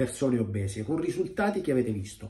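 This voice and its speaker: Somewhat breathy, a man speaks with very wide pitch swings over a quiet background. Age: 50s. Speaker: weight-loss coach. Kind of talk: video monologue. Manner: direct. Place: home room. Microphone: phone near.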